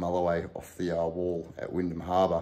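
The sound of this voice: A man talks at a fast pace in a low pitch. His tone is dark and mellow, with little pitch movement.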